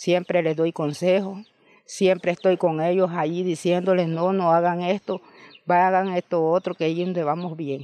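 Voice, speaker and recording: A woman's fairly low, dark, mellow voice, monotone and flat at a moderate pace, in a dry sound with no echo. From Nicaragua. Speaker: farmer and landowner. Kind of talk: interview testimony. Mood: sorrowful, reflective. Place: home room. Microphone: handheld.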